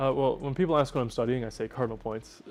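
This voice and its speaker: A man speaks with music in the background. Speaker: student newspaper editor. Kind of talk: interview. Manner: hesitant, many filler uhs.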